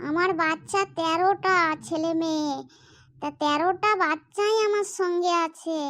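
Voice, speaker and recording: A woman uses a cartoonish character voice pitched extremely high. She speaks very slowly with fairly even intonation. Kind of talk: comic cartoon voice acting. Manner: rambling, repetitive.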